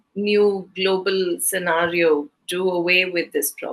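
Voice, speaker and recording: A woman with a Keralan accent speaks at a medium pitch in a bright, sharp tone with fairly even intonation. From southern India. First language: Malayalam. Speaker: interviewer. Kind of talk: interview. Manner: halting.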